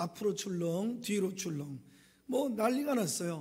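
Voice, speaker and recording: A man talks at a moderate pace in a dark, mellow tone. His pitch varies in an ordinary way, and there is audible room echo. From rural South Korea. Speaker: pastor. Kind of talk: sermon.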